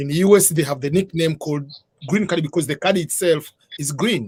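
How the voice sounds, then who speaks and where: A man with an East African accent, fairly high in pitch, fairly quick in pace, with ordinary pitch variation. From Tanzania. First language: Swahili. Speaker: author and immigration advisor. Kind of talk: interview on live stream.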